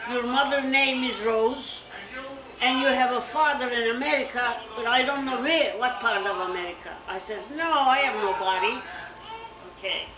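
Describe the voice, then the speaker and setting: Amid noticeable background noise, a woman with a high voice talks at a moderate pace with ordinary pitch variation. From Kayseri, Turkey. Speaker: Armenian Genocide survivor. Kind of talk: interview answer. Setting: living room.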